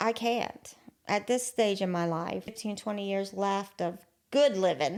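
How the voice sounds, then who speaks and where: Speaking at a fairly slow pace, a woman talks in an Appalachian accent. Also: medium pitch for a woman, ordinary pitch variation. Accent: Appalachian US Southern. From southern West Virginia. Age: 60s. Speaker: interview guest sharing life story. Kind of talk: casual interview conversation. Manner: short, plain replies.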